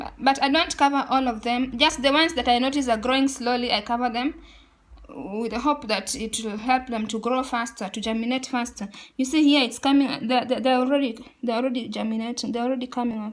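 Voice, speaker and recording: With fairly even intonation, a high-pitched woman talks at a fairly quick pace. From Kenya, western. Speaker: gardening vlogger. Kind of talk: casual tutorial. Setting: indoors, room next to balcony. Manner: halting, repeats words.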